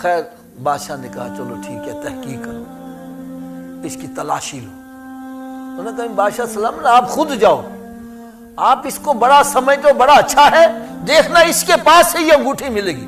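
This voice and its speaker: Music plays in the background as a man speaks. His loudness swings widely. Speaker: Islamic preacher. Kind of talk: Urdu religious sermon (bayan) with storytelling. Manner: emotional, animated storytelling.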